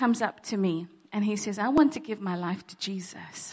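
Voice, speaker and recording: A woman uses an unremarkable speaking voice, keeping a fairly slow pace and ordinary pitch variation. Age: 40s. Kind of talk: testimony. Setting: church.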